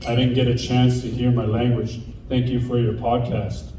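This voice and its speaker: Medium-pitched male speech at a moderate pace, with audible room echo and noticeable background noise. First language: Dene. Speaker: keynote speaker and podcast host. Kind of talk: keynote speech.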